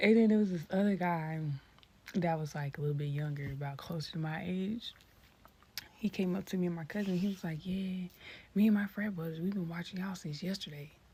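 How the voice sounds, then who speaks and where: Somewhat breathy and dark, mellow in tone, a woman talks at a fairly quick pace with ordinary pitch variation. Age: 20s. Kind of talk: casual storytelling.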